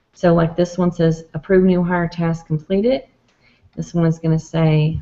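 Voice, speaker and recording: At a moderate pace, a woman talks with a dark, mellow tone and a fairly low pitch. Her intonation is monotone and flat. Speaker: software trainer. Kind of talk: tutorial.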